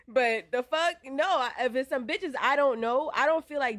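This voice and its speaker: A woman speaks in an animated tone. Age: 30s. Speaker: podcast co-host. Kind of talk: casual chat.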